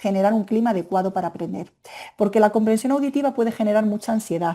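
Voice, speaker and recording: A fairly high female voice with an animated tone at a very fast pace. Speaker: Spanish language teacher trainer. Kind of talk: webinar presentation. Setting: online webinar.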